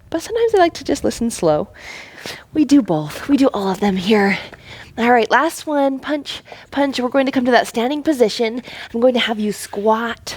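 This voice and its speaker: Over noticeable background noise, a woman with a high voice talks in an animated tone with lively intonation. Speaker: fitness instructor. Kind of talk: workout instruction. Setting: home basement. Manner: fast.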